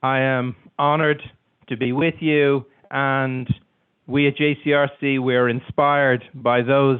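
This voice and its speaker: Speaking in an Irish accent, a man uses a fairly high pitch and a monotone, flat intonation at a fairly slow pace. His loudness stays very even, broken by long, frequent pauses. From Ireland. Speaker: community organization executive. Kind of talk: formal welcome speech.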